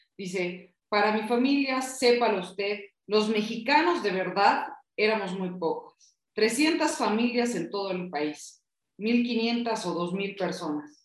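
In a room with audible echo, a woman talks at a very slow pace with lively intonation. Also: fairly high pitch for a woman. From Bolivia. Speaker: book club panelist. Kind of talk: casual book discussion.

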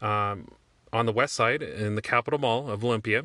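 A man with a Pacific Northwest accent speaks at a moderate pace in a medium pitch, his tone bright and sharp. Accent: American, Pacific Northwest. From Washington State, US. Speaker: gaming podcaster. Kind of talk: personal monologue podcast. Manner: hesitant, many fillers.

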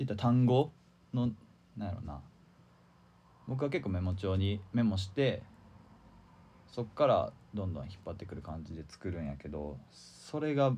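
A man's fairly low, dark, mellow and somewhat breathy voice, with very wide pitch swings, big swings in loudness, and long, frequent pauses. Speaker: tanka poet. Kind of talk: casual chat. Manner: fast when excited.

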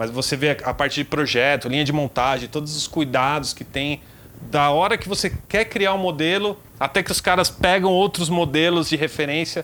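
A man's fairly high voice has a bright, sharp tone, ordinary pitch variation and a moderate pace. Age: 30s. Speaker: motorcycle reviewer and mechanic. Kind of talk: casual chat.

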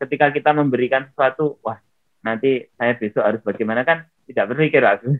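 A man's pitch varies in an ordinary way. He keeps a moderate pace. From Riau, Indonesia. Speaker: former honorary teacher turned network-marketing businessman. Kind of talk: interview.

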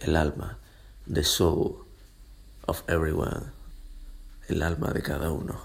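A man's very deep, low pitch with vocal fry and fairly even intonation, at a fairly slow pace with long, frequent pauses. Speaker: podcaster. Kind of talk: solo monologue podcast.

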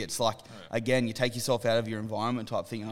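A man speaks at medium pitch with an Australian accent. The recording is very clean, with a silent background. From Western Sydney, Australia. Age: 30s. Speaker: clothing brand co-founder. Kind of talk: casual chat. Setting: their own studio space.

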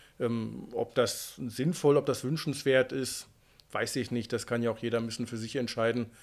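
A man speaks at a moderate pace and medium pitch, with fairly even intonation. It is an ordinary speaking voice. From Unna, Westphalia, Germany (Ruhr area). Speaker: Arctic guide and author. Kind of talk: casual interview.

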